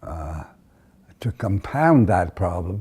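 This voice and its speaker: A man with an American accent speaks in a fairly low, dark, mellow voice. His delivery is somewhat breathy. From United States. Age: 80s+. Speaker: centenarian interviewee. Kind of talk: oral history interview. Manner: halting, frequent hesitations.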